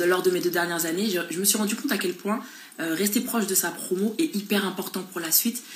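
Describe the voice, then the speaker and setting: Over noticeable background noise, the speaker moves at a fairly quick pace in an animated tone. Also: woman. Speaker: beauty pageant contestant. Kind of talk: Instagram live chat reading viewer comments. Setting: Instagram live. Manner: fast.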